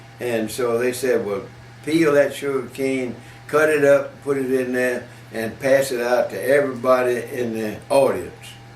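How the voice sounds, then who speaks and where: Fairly even in intonation, a man speaks over noticeable background noise. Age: 90s. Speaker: elderly car dealer recalling local history. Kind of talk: casual interview answer.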